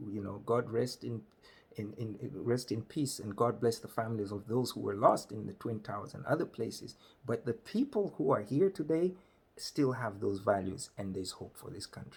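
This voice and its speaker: Somewhat breathy and animated, a man speaks at a moderate pace with a medium pitch and lively intonation. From Malawi. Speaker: comedian, storyteller. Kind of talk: storytelling monologue.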